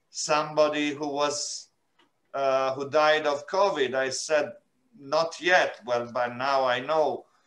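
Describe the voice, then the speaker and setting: A man speaks with an Italian accent at a very slow pace. His pitch is fairly high, and his intonation is fairly even. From Italy, Milan. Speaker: UN refugee agency representative. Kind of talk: interview. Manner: halting, many filler sounds.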